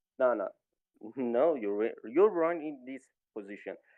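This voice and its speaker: The speaker is a man with a non-native accent. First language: not English. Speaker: debate participant. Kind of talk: debate. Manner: halting.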